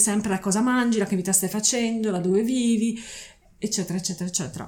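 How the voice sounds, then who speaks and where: A woman speaks at a medium pitch in an ordinary speaking voice, with ordinary pitch variation. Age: 40s. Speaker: zero-waste advocate. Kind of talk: casual chat. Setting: at her home.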